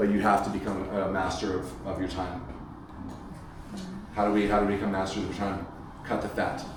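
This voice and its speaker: There is noticeable background noise and audible room echo as a man with an American accent speaks in a flat monotone. He leaves long, frequent pauses. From United States, first-generation American. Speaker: Olympic swimmer and workshop speaker. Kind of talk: parent workshop talk. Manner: repetitive, stammering restarts.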